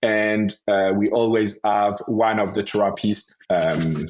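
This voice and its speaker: A man speaks in a French accent with a fairly low pitch. His intonation stays fairly even. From France, Paris. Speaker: osteopath and health entrepreneur. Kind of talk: interview.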